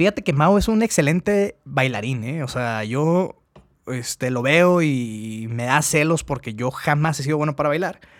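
At a fairly slow pace, a man with a Mexican accent speaks in a fairly high voice with lively intonation. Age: 30s. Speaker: podcast host. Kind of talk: casual chat.

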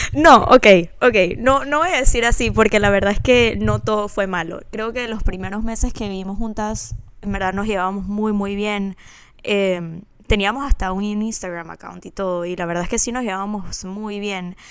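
In an ordinary speaking voice, a woman talks at a moderate pace with a medium pitch, ordinary pitch variation and big swings in loudness. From Panama. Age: 20s. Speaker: podcast co-host. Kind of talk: casual chat.

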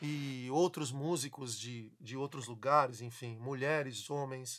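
Very clean, the recording has a silent background. A bright, sharp tone comes through. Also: man. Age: 40s. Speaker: samba musician and podcast host. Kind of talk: casual interview chat.

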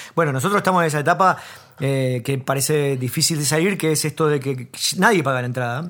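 A man with a plain, everyday voice speaks at a fairly quick pace, his pitch fairly high for a man and his pitch variation ordinary. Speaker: comedy podcast co-host. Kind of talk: casual chat.

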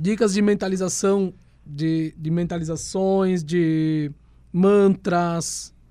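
At a very slow pace, the voice carries a dark, mellow tone and fairly even intonation. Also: man, high pitch for a man. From Rio Grande do Sul, Brazil. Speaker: historian and tarot reader. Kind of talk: casual chat.

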